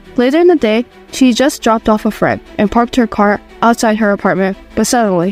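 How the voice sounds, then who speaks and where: A woman with a fairly high pitch and lively intonation, talking at a fairly quick pace over music in the background. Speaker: podcast narrator. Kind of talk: true crime narration.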